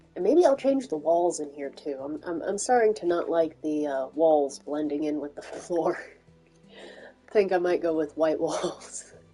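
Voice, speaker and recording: Over music in the background, a woman with a fairly low pitch speaks at a moderate pace. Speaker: gaming streamer. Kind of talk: live gameplay commentary. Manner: monotone. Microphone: internet issues.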